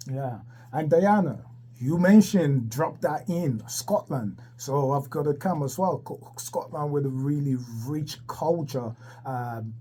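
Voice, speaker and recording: A man talks at a fairly slow pace in a fairly high, somewhat breathy voice with ordinary pitch variation. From Ghana / Ivory Coast. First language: French. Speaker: radio host. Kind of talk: radio interview.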